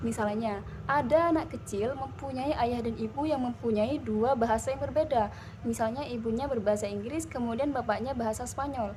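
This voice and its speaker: Over noticeable background noise and audible room echo, a woman talks at a fairly quick pace with a fairly high pitch and ordinary pitch variation. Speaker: university student presenter. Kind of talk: class presentation. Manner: hesitant, frequent fillers.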